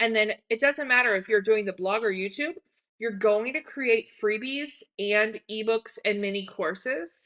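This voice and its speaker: In a plain, everyday voice, a woman talks at a fairly slow pace with a fairly high pitch and ordinary pitch variation. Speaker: online business coach. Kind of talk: tutorial. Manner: casual, filler-heavy.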